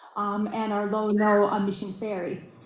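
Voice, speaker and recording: A woman's fairly high voice at a moderate pace, with noticeable background noise and audible room echo. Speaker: state transportation official. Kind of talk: conference presentation. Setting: video call.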